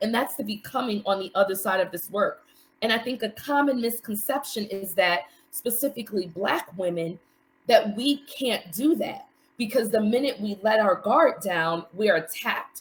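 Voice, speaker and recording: A woman with an American accent and a fairly high pitch sounds somewhat breathy, speaking at a moderate pace with ordinary pitch variation. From New York City. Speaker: mental health coach, support group facilitator. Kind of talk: live stream interview.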